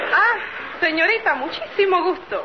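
Noticeable background noise accompanies a woman talking at a moderate speed. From born in Brooklyn, parents in South America. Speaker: nightclub entertainer, film actress. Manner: brash, streetwise.

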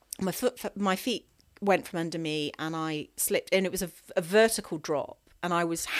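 A woman talks at a moderate pace with medium pitch and ordinary pitch variation, in a plain, everyday voice. The recording is very clean with a silent background. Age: 40s. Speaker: ultra runner and run coach. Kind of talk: interview.

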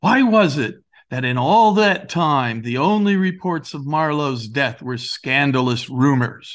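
This man has a plain, everyday voice, pitched fairly high with lively intonation. The background is quiet. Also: fairly slow pace. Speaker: director, playwright and author. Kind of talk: history documentary narration, explanatory. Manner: measured, authoritative; clear, didactic storytelling.

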